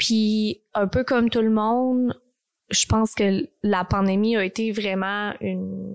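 A woman speaks at a very slow pace in a very clean recording with a silent background. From Texas (born in Quebec, moved at six). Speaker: podcast host. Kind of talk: personal monologue. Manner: hesitant, many fillers.

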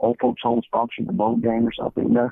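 With lively intonation and a medium pitch, a man talks in a normal speaking voice. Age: 60s. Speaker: high school football coach. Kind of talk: podcast interview.

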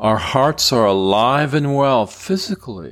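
An ordinary speaking voice with lively intonation goes at a fairly slow pace in a very clean recording with a silent background. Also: man. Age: 60s. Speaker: qigong teacher. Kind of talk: guided meditation. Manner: soft-spoken.

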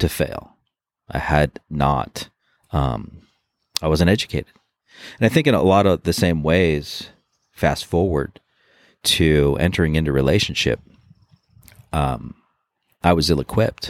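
A man speaks fairly slowly in a very deep, low pitch with vocal fry, ordinary pitch variation and very even loudness. Long pauses come often, and the sound is dry and close with no echo. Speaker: former Marine and police officer. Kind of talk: personal testimony interview. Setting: outdoors. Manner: halting with fillers.

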